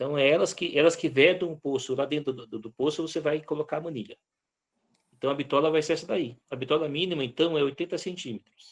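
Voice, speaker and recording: A normal speaking voice moves at a fairly quick pace. Its pitch variation is ordinary. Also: man. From Brazil, Vale do Ribeira (São Paulo). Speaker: lecturer on rural self-sufficiency. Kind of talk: online lecture Q&A.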